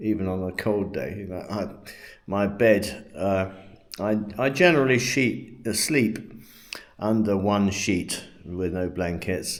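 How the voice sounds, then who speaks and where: Speaking at a very slow pace with a British accent, a man with a fairly low pitch is heard with audible room echo. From England. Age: 70s. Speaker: retired expat vlogger. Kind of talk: casual vlog monologue. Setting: at home. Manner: halting, many fillers and repeats.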